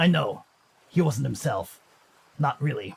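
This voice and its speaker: In a put-on character voice, a man speaks raspy and at a moderate pace, with a fairly high pitch and very wide pitch swings. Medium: read story. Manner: soft, reflective.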